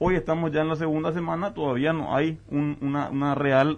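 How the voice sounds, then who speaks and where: The speaker is a man with a fairly quick delivery. He keeps a monotone, flat intonation. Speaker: business advocate. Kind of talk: debate.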